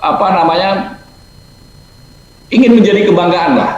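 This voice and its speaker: Over noticeable background noise and audible room echo, a man is talking. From Gorontalo, Indonesia. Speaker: alumnus speaker, businessman. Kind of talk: webinar talk.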